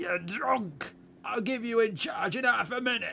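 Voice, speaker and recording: A raspy, put-on character voice, raised and projected, delivers lively intonation at a moderate pace over clear background noise. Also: man, extremely high pitch for a man. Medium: read story. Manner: rambling, colloquial.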